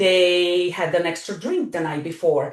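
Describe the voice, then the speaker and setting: A woman speaks with an Eastern European accent. Her pace is moderate. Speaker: wellness coach. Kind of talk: podcast interview. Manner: animated.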